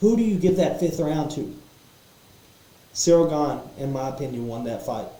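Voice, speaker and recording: Over noticeable background noise and audible room echo, a man talks at a moderate pace with lively intonation and a fairly high pitch. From Kentucky. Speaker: MMA podcaster. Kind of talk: casual fight analysis monologue. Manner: animated, with repetitions and fillers. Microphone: poor sound quality setup.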